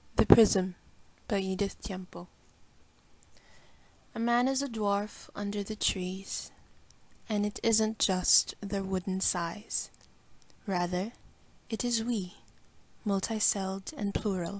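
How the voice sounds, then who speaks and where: A woman with a medium pitch speaks at a very slow pace, leaving long, frequent pauses. Her voice is somewhat breathy. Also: fairly even intonation, very clean recording, silent background. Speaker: student. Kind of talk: poetry reading.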